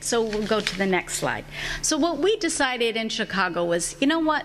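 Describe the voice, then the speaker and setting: The speech moves at a fairly quick pace with very wide pitch swings, over noticeable background noise. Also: woman. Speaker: advocacy organizer, panelist. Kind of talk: conference talk. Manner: loud.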